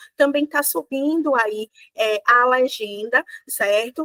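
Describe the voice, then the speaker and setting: A woman's bright, sharp, fairly high voice in a Bahian accent, at a very slow pace with ordinary pitch variation. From Bahia, Brazil. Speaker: law professor. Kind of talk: lecture. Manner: many filler hesitations (é).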